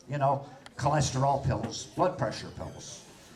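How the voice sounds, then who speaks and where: Audible room echo surrounds a man delivering his words at a fairly slow pace. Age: 60s. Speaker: comedian. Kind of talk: stand-up. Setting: stage with audience.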